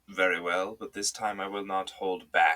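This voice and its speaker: This man puts on a character voice, pitched fairly low and delivered at a moderate pace. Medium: read story. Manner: calm, authoritative.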